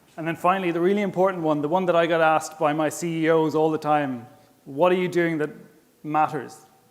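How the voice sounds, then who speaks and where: A man with a strong Irish accent, fairly high pitch, fairly even intonation and a very fast pace, over noticeable background noise. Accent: Irish, thick. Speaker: smart tourism manager, conference speaker. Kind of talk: conference presentation. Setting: stage with audience and interpreters. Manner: casual, self-deprecating.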